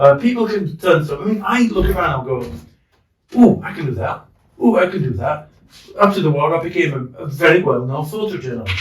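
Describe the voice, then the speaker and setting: Though his pace is fairly quick, this high-pitched man leaves long, frequent pauses. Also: lively intonation. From northern England, Leeds. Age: 60s. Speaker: war veteran. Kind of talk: casual chat. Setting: in a pub.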